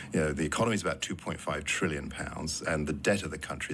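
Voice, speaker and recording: A man with a British accent talks at a very fast pace in a very deep, low voice, his pitch moving in an ordinary way. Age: 60s. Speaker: politician. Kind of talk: radio interview.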